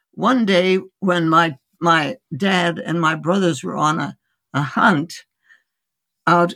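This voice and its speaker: A woman's fairly low voice with vocal fry, at a very slow pace. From India. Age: 80s+. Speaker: physician. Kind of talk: interview. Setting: remote call.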